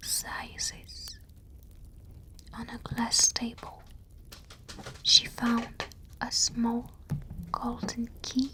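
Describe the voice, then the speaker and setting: Someone whispers, with long pauses coming often. Noticeable background noise runs underneath. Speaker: ASMR storyteller. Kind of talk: bedtime story reading. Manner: soft-spoken.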